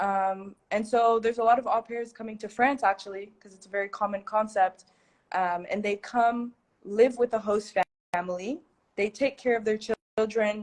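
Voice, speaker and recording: With an American accent and a normal speaking voice, the speaker talks at a moderate pace with fairly even intonation and big swings in loudness. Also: woman, fairly high pitch for a woman. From United States. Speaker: content creator and teacher. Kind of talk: livestream interview. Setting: livestream. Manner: casual, filler-heavy.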